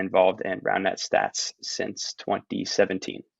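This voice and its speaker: A man speaks with a New Jersey accent. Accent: American, New Jersey. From New Jersey, US. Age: 20s. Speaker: professional roundnet player. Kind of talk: podcast interview.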